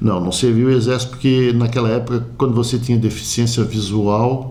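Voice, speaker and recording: A man speaks at a medium pitch with fairly even intonation. Audible room echo and noticeable background noise surround him. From Florianópolis, southern Brazil. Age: 60s. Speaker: community sports figure. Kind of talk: interview.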